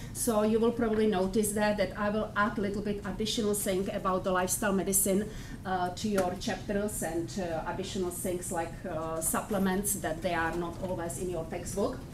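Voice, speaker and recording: At a fairly quick pace with hardly any pauses, a woman of medium pitch keeps a fairly even intonation over noticeable background noise. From Czech Republic. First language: Czech. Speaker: professor. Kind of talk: lecture. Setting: classroom. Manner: halting. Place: classroom.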